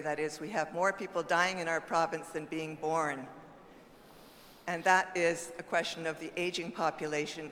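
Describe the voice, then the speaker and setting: A woman with a fairly low pitch talks in monotone, flat intonation against noticeable background noise. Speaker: party official speaking from the floor. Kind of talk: convention floor comment. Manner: fast.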